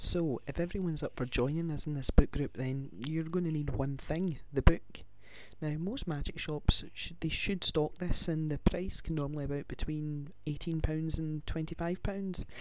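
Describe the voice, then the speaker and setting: A man with a Glaswegian accent and a fairly high pitch, at a moderate pace with fairly even intonation. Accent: Glaswegian Scottish. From Scotland, Glasgow. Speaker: podcast host, student and actor. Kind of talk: casual chat.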